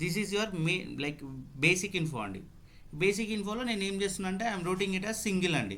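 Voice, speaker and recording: The voice has a bright, sharp tone, heard with audible room echo. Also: man. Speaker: tax instructor. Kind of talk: online class tutorial. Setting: video call, screen share.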